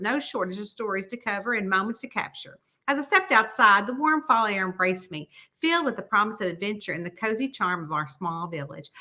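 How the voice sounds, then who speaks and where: Talking at a very fast pace in a Southern US accent, a woman uses a fairly high pitch with very wide swings and a bright, sharp tone. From Southern United States. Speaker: mystery author. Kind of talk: audiobook-style reading of a novel chapter.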